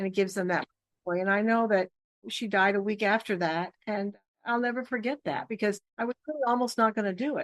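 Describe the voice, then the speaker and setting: A woman with an American accent speaks in an ordinary speaking voice at a fairly quick pace, medium in pitch with ordinary pitch variation, in a dry, close sound with no echo. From Michigan. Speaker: career show host. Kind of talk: interview.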